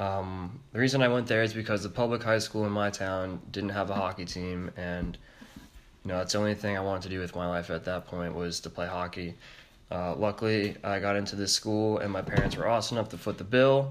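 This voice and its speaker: A man talks at a fairly quick pace in an ordinary speaking voice with an American accent. His pitch is fairly low and his intonation fairly even. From Connecticut. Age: 20s. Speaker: podcast host.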